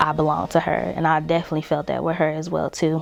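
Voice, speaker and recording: Very fast speech in a Southern US accent amid noticeable background noise. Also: woman. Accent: Southern US, mild. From Mississippi. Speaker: family member giving tribute. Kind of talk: personal tribute testimony. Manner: casual, hesitant with fillers.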